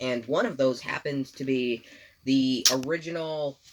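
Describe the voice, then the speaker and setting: A man with a plain, everyday voice speaks at a medium pitch and a fairly slow pace. His intonation is lively. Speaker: toy reviewer. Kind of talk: casual chat.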